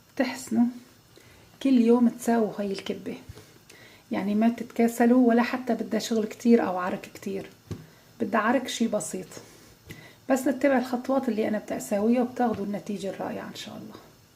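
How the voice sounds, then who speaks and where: A woman talks at a fairly quick pace and a fairly high pitch, with fairly even intonation and big swings in loudness. There are long, frequent pauses and noticeable background noise. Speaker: cooking channel host. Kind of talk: cooking tutorial. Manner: quiet.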